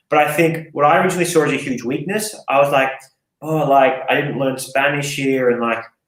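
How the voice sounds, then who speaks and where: A man speaks very fast in an Australian accent, his pitch fairly high. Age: 30s. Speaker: fitness coach and gym owner. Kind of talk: casual podcast interview. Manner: animated, casual.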